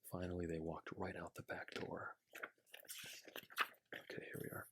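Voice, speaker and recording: A man whispers in a relaxed tone at a moderate pace. The sound is dry and close, with no echo. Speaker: ASMR creator. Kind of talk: children's picture book reading. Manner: soft-spoken, relaxed.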